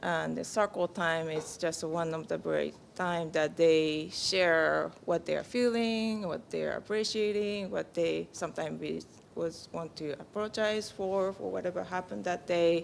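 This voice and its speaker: A woman with a Japanese accent speaks at a fairly slow pace. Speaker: peace camp parent and counselor. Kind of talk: congregation sharing. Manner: halting.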